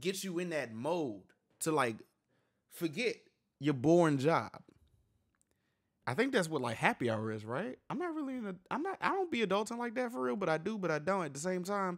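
A man talks with very wide swings in pitch, the background around him quiet. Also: fairly quick pace. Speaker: music reaction youtuber. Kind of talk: casual reaction commentary. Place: home room. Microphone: studio mic.

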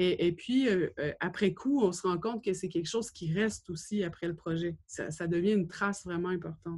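The background is quiet. A woman talks at a fairly low pitch with ordinary pitch variation. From Quebec, Gaspésie; Quebec. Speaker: gallery director and curator, doctoral student. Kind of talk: lecture. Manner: halting, many hesitations. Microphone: webcam.

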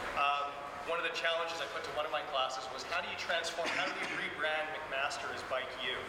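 Amid loud background noise and audible room echo, a man talks at a very fast pace. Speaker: host, university teacher. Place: hall.

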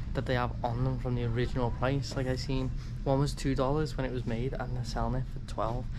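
Over noticeable background noise, a man speaks at a fairly quick pace. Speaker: travel vlogger. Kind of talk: casual vlog chat. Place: shop. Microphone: phone near.

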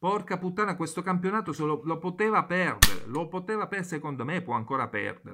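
Over loud background noise, the speaker sounds furious, talking at a fairly quick pace with ordinary pitch variation. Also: man. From Italy. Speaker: football commentator and YouTuber. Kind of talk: angry football rant, venting at the camera about Juventus. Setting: home video recording, neighbours nearby. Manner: furious, loud, swearing constantly, repeating phrases, rapid and breathless, exasperated; excitable, chatty, talking directly to viewers. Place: home room. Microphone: phone near.

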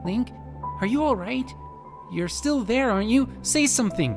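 Over clear background music, a man puts on a squeaky, high-pitched character voice at a moderate pace. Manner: worried, urgent.

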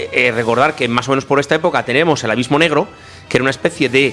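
A man of fairly high pitch has an ordinary speaking voice with ordinary pitch variation. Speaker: film commentator. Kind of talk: casual film discussion.

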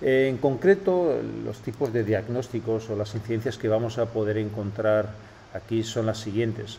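A man in a Castilian accent at a moderate pace, with fairly even intonation over light background noise. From Spain. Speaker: web analytics tutorial host. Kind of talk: tutorial. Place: office.

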